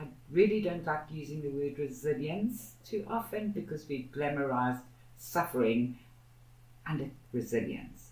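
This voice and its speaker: Somewhat breathy and very deep, a woman's low-pitched voice moves at a fairly slow pace with lively intonation. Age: 60s. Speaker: activist, co-founder of a social justice institute. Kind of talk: podcast interview.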